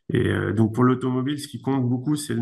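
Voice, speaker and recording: With audible echo from the room, a man delivers his words in a fairly even intonation. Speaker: engineer, research institute director. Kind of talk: conference talk, Q&A answer. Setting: video conference. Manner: hesitant, many fillers.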